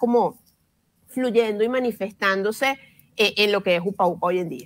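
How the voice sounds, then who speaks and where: A woman at a moderate pace with ordinary pitch variation against a quiet background. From Venezuela. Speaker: journalist and children's language educator; journalist, children's language educator. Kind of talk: interview. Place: home room. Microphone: earbuds.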